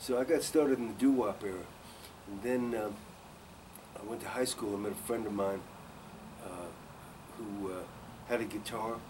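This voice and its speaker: Heard with audible room echo, a man with a fairly low pitch talks at a moderate pace with fairly even intonation, big swings in loudness, and long, frequent pauses. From New York City. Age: 70s. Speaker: singer-songwriter. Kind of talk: interview.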